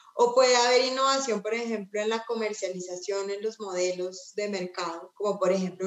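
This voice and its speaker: A woman speaks at medium pitch with ordinary pitch variation. Hers is an unremarkable speaking voice. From Colombia. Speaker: nonprofit executive. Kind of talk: panel conversation.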